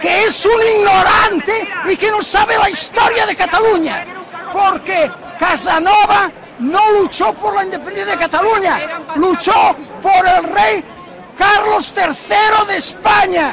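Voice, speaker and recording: Over crowd noise in the background, a man speaks at an extremely high pitch. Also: ordinary pitch variation, fairly slow pace. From Barcelona, Spain. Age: 80s+. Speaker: retired civil servant and teacher. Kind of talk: street interview answer.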